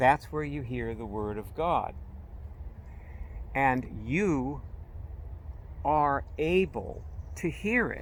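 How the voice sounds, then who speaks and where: A man's very slow speech with long, frequent pauses, big swings in loudness and audible room echo. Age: 70s. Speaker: spiritual teacher. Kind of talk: spiritual talk. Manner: casual, halting.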